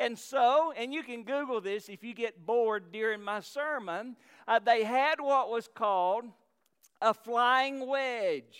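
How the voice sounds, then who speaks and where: With a Southern US accent, a man talks at a fairly slow pace in an extremely high pitch, his pitch varying in an ordinary way. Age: 50s. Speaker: pastor. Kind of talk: sermon. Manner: halting.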